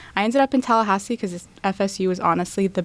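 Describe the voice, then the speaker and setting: A plain, everyday voice, a woman's at medium pitch with an American accent and ordinary pitch variation, on a very clean recording with a silent background. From US, Tampa, Florida. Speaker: law student. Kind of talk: interview.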